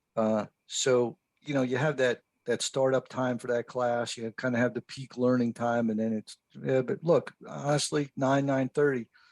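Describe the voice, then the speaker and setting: A man with a plain, everyday voice talks at medium pitch and a moderate pace. His intonation stays fairly even, and the sound is dry and close with no echo. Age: 60s. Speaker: fire service instructor. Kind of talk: podcast interview. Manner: casual.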